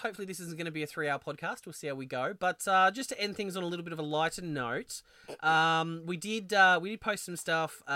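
In a very clean recording with a silent background, a man with an Australian accent speaks at a fairly quick pace. His voice is high-pitched with a bright, sharp tone. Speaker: podcast co-host. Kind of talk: casual chat.

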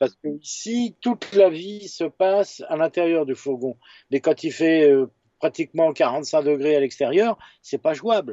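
Intonation is lively while the delivery stays very slow. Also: man, fairly high pitch for a man. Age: 50s. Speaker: photojournalist and author. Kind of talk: casual interview. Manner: halting, many repetitions and fillers.

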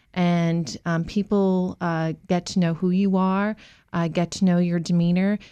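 Against a quiet background, a woman speaks with an American accent. Her voice is fairly low in pitch, with a dark, mellow tone. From Massachusetts. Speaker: small business program director. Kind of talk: radio interview. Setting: radio studio.

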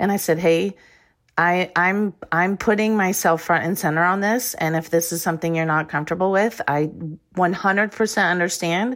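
A woman at a moderate pace with fairly even intonation, on a very clean recording with a silent background. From Iowa, US Midwest. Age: 50s. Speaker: former Olympic swimmer. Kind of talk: interview.

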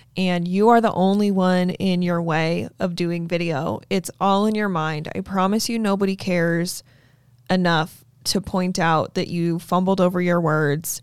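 A woman in an ordinary speaking voice, with an American accent, speaks at a fairly slow pace with fairly even intonation and a fairly low pitch, on a very clean recording with a silent background. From Utah. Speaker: realtor and podcast host. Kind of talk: casual chat. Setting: studio.

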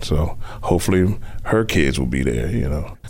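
Speaking at a moderate speed, a man shows ordinary pitch variation while noticeable background noise carries on. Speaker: newspaper circulation manager. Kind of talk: interview.

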